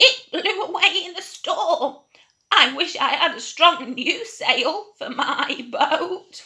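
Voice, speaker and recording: A put-on character voice at an extremely high pitch moves at a very slow pace. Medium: read story.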